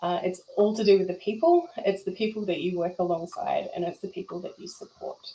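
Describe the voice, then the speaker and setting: Speaking at a fairly quick pace with hardly any pauses, a woman with a New Zealand accent uses a medium pitch and ordinary pitch variation over noticeable background noise. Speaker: emergency volunteer. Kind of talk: testimony. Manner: animated.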